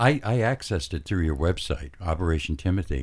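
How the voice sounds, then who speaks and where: A somewhat breathy man speaks at a moderate pace with very wide pitch swings. The recording is very clean, with a silent background. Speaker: radio host. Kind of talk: radio show hosting. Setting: radio studio.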